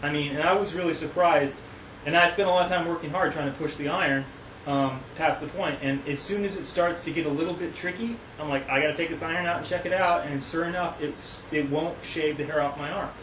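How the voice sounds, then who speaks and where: Speech comes at a very fast pace with fairly even intonation. There is noticeable background noise and audible room echo. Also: man, fairly high pitch for a man. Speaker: woodworker reviewing a hand plane. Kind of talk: tutorial. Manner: halting, many false starts.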